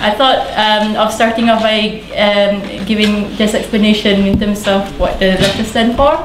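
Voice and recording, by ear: A woman speaks at a moderate pace and a medium pitch, with little pitch movement. Room echo is audible.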